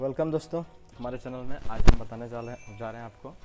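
Loud music plays in the background as a man talks at a moderate pace with ordinary pitch variation. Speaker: fitness vlogger. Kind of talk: tutorial. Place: street. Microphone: lapel.

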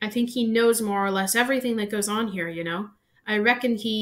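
What you hear is a natural reading voice.

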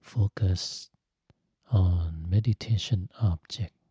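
Soft-spoken and somewhat breathy, a man talks very slowly in a calm, dark, mellow tone at a fairly low pitch against a quiet background. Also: dry sound with no echo. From Thailand. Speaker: Buddhist monk and meditation teacher. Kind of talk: guided meditation. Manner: slow, calm, soft-spoken. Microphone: studio mic.

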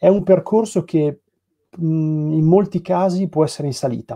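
This man has a high voice with a dark, mellow tone, speaking at a moderate pace with ordinary pitch variation and long, frequent pauses against a quiet background. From Piacenza, northern Italy; northern Italy. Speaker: graphic designer at a comics publisher. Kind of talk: casual interview. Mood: calm, thoughtful. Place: home room. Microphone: video call.

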